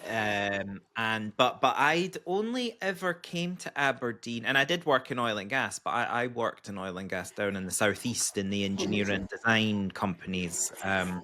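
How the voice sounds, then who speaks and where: On a very clean recording with a silent background, a man speaks with a Scottish accent. His tone is bright and sharp, with hardly any pauses. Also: medium pitch for a man, lively intonation, moderate pace. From Scotland, Edinburgh. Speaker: podcast host, engineer. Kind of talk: podcast interview.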